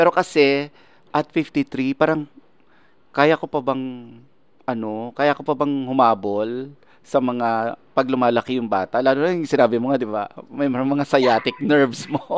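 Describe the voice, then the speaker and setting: Using a normal speaking voice, a man talks at a fairly slow pace with a medium pitch and ordinary pitch variation, recorded dry and close with no echo. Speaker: showbiz podcast host. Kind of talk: interview.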